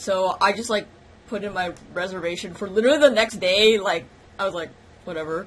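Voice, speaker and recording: Talking at a fairly quick pace in an American accent, the speaker sounds animated, with ordinary pitch variation. The loudness rises and falls sharply. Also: woman, medium pitch for a woman. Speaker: YouTuber. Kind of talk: casual vlog monologue. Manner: animated, fast-talking.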